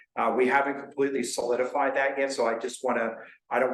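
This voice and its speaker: Talking very fast with an American accent, a man is heard through audible room echo and noticeable background noise. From New Jersey. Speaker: county emergency services official. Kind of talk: public meeting presentation. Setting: town board meeting.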